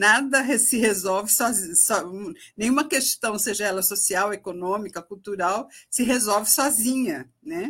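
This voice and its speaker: Her tone is bright and sharp, at medium pitch with ordinary pitch variation. The woman speaks at a fairly slow pace. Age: 60s. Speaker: former government minister. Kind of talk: live TV panel discussion.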